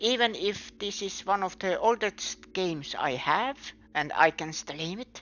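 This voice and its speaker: A woman with a non-native accent talks at a very slow pace with lively intonation. Music plays in the background. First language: not English. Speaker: game streamer. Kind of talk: casual live-stream chat. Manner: halting.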